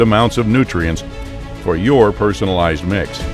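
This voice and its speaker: With music playing behind him, a man speaks at a moderate pace. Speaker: voice actor. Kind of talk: corporate commercial read. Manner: clear, engaging, motivating.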